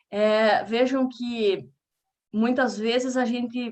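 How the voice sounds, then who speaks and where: A woman speaks very slowly with a Paraná accent. Her pitch sits fairly high. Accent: Paraná Brazilian Portuguese. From Brazil, Paraná. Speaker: researcher giving a lecture. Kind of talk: lecture.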